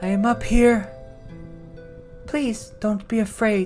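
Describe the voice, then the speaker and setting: Over clear music in the background, a put-on character voice with a fairly high pitch and a gentle tone moves at a fairly slow pace. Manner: gentle, reassuring.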